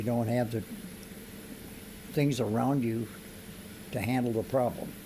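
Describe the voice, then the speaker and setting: This man has an American accent and a medium pitch. His intonation is fairly even, with audible room echo around him. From US Midwest, Iowa. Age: 80s+. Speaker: interviewee. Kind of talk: casual chat.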